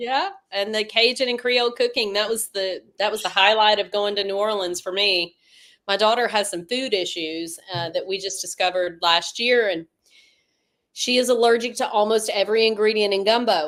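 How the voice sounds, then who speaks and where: A woman with a Northwest Louisiana accent speaks at a fairly high pitch and a moderate pace, with ordinary pitch variation. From Northwest Louisiana (Shreveport). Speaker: travel tips expert. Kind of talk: casual live Q&A chat.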